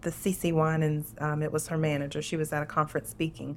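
In a very clean recording with a silent background, a woman with a Southern US accent speaks at a very deep, low pitch. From US South, Louisiana (Lafayette area), moved to Tennessee at eight. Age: 40s. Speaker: podcast host, abuse survivor. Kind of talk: Q&A interview, personal testimony.

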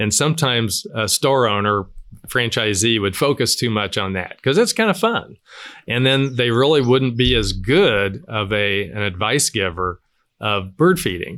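A man's bright, sharp tone with lively intonation at a moderate pace, on a very clean recording with a silent background. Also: medium pitch for a man. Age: 70s. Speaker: business founder. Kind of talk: interview. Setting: outdoors.

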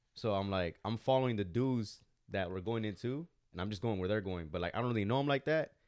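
A man with an American accent talks at a very fast pace, his pitch fairly low. The background stays quiet. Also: ordinary pitch variation. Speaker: podcast host. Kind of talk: casual chat.

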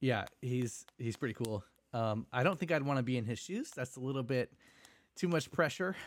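On a very clean recording with a silent background, a man in a normal speaking voice talks at a moderate pace with a medium pitch and ordinary pitch variation. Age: 20s. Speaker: podcast co-host. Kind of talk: casual chat.

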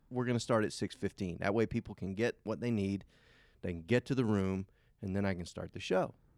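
A man with an ordinary speaking voice talks at a fairly quick pace in a fairly low pitch with fairly even intonation, the sound dry and close with no echo. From US South, Savannah, Georgia. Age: 30s. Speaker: magician. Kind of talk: casual chat. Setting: stage with audience.

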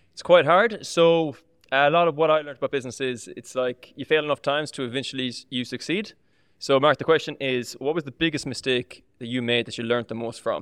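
With an Irish accent, a man talks at a fairly quick pace and a fairly high pitch, showing ordinary pitch variation and big swings in loudness, in a dry, close recording with no echo and a quiet background. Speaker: personal trainer. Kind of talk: casual chat.

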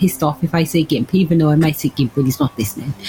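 A woman's voice over noticeable background noise. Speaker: tabletop role-playing game player. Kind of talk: casual chat.

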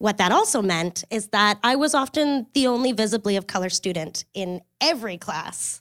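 A woman with an ordinary speaking voice and a Canadian accent talks at a moderate pace and medium pitch. The recording is very clean and silent in the background, with a dry, close sound and no echo. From Kingston, Ontario, Canada. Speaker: digital fundraising consultant. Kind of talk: storytelling talk. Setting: stage with audience.

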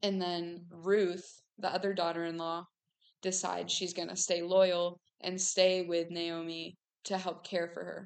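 A woman speaks in a Midwestern American accent with a fairly low pitch. Her delivery is fairly slow and monotone, with flat intonation. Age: 19. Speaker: podcast host. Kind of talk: casual faith talk monologue.

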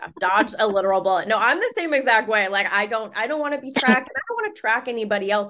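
A woman's fairly high voice at a very fast pace, with hardly any pauses and ordinary pitch variation. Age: 30s. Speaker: social media creator. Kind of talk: casual chat.

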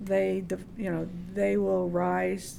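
An American accent marks this voice. It belongs to a woman. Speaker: volleyball coach. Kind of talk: interview conversation.

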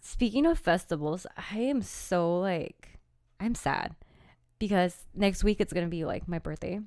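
In a very clean recording with a silent background, a woman with an American accent uses an ordinary speaking voice at a medium pitch, with ordinary pitch variation and a fairly slow pace. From California. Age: 20s. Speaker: podcast co-host. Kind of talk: casual chat.

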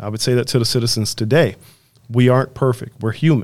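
A man with an American accent talks at a fairly quick pace and medium pitch. He has an ordinary speaking voice. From Chicago. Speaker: city manager. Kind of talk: interview.

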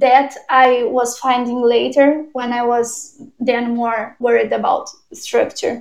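A very slow delivery in a Portuguese accent with ordinary pitch variation. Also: woman, high pitch for a woman. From southern Brazil, Porto Alegre. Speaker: film director. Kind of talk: interview. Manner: hesitant, many fillers.

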